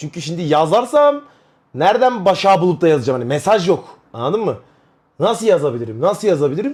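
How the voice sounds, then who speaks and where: The pitch swings very widely throughout. The pace is very fast. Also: man, high pitch for a man. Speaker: streamer. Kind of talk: casual chat. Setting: live stream. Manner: loud; animated.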